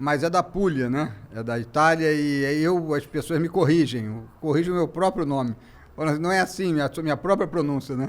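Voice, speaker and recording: This very clean recording with a silent background captures a man with a fairly high pitch talking at a moderate pace with ordinary pitch variation. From Brazil, Rio de Janeiro (Santa Teresa). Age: 60s. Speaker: journalist and museum founder. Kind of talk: casual interview chat. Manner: halting, many false starts.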